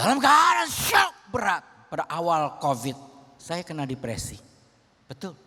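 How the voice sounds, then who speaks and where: A man's high voice with very wide pitch swings, a fairly slow pace, and long, frequent pauses. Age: 70s. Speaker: pastor. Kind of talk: sermon.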